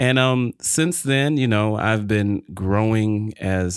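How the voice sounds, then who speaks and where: A man with an American accent talks at a fairly slow pace with fairly even intonation and an unremarkable speaking voice, in a dry, close sound with no echo on a very clean recording with a silent background. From Detroit, Michigan. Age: young. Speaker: podcast guest, small business owner. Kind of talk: faith-based interview, personal testimony.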